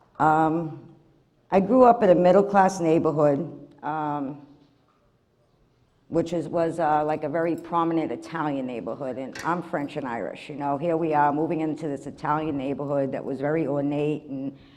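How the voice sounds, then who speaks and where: Audible room echo surrounds a woman whose very deep, low pitch and dark, mellow tone come at a moderate pace. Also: ordinary pitch variation. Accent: American. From Massachusetts, Revere (US New England). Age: 60s. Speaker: recovery program member giving testimony. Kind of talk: testimony. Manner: halting, many fillers.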